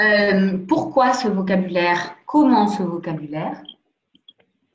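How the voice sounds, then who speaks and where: Her intonation is lively, at a medium pitch for a woman. Audible room echo surrounds the woman's voice. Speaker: president of a national anti-abuse commission. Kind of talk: lecture. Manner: hesitant, many fillers.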